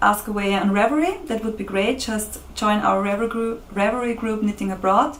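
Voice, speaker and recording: With a non-native accent, a woman speaks at a moderate pace in a fairly high pitch, her intonation fairly even, and audible room echo surrounds her voice. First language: German. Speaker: podcast co-host. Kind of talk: casual podcast sign-off.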